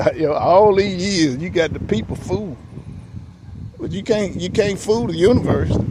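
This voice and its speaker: There is noticeable background noise and audible room echo around a man with a high pitch. He speaks at a moderate pace with long, frequent pauses. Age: 60s. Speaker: vlogger. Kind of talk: casual monologue. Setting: outdoors in the shade. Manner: halting, repetitive.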